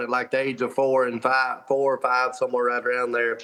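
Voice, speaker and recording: A medium-pitched man in an Alabama accent, at a fairly quick pace. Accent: Southern US (Alabama). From US South, northwest Alabama. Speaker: professional fisherman and motivational speaker. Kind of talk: interview, personal testimony. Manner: casual, with filler words.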